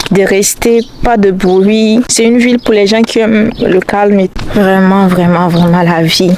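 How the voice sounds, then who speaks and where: Noticeable background noise sits behind a woman with a medium pitch. She talks at a fairly slow pace with fairly even intonation. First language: not French (speaking French). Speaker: YouTuber, student. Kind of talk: vlog monologue. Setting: outdoors, walking. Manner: halting.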